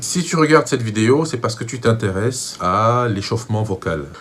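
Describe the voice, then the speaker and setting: With a Cameroonian accent, a man talks at a moderate pace and fairly low pitch, his intonation lively. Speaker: vocal coach. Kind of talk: tutorial.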